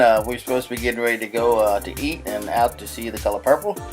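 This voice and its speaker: A man speaks in a playful tone with music in the background. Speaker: husband doing voiceover for wife's makeup video. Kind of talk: casual humorous commentary narration over a makeup video. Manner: playful, joking, chatty.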